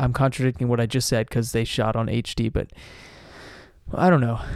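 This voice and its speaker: At medium pitch, a man speaks at a fairly quick pace, yet leaves long, frequent pauses. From South Carolina. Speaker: podcast co-host. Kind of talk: casual chat.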